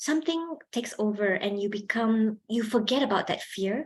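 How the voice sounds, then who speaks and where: This voice is somewhat breathy and moves at a moderate pace. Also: woman. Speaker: lecturer, public speaking trainer. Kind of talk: workshop talk. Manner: animated, projecting when presenting.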